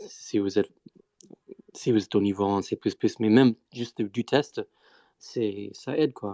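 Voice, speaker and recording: A dark, mellow voice with a non-native accent and fairly even intonation comes through with a dry, close sound and no echo. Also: man. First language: not French (speaking French). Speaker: Bitcoin Core developer. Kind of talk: technical discussion on live stream. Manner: halting, many fillers.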